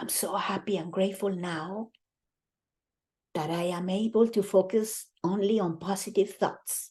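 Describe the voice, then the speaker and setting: Whispering in a put-on character voice, a woman sounds soft-spoken and breathy at a moderate pace. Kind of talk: guided meditation.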